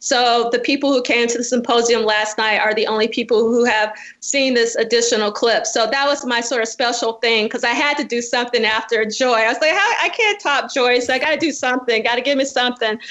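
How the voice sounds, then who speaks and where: Amid noticeable background noise, a woman with a high pitch talks at a fairly quick pace with hardly any pauses, very even loudness and ordinary pitch variation. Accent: American. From Alabama, US South. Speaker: professor and podcaster. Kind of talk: interview.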